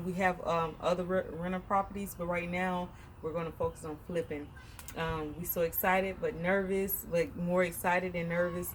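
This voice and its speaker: Her pitch is fairly low, and this woman speaks in a monotone, flat intonation. She moves at a moderate pace. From Southern United States. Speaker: realtor. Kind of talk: casual house-tour vlog talk to camera.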